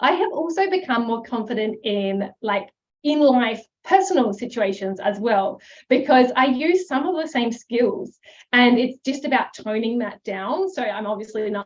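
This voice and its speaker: Loud and animated, the voice moves at a moderate pace with lively intonation. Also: woman, high pitch for a woman. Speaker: herbal business coach. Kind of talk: live webinar masterclass.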